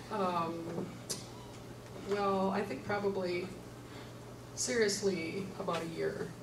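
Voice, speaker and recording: A woman at a very slow pace, with long, frequent pauses, fairly even intonation and noticeable background noise. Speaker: retired nurse, panelist. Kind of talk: church adult forum panel discussion. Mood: reflective, candid. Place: hall.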